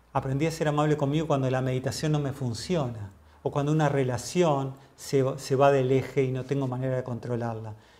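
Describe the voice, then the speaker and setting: With a dark, mellow tone, a man speaks at a fairly quick pace and keeps his intonation fairly even. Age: 50s. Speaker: mindfulness teacher; interview guest, mindfulness teacher. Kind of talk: interview. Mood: calm, earnest, reflective. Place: home room.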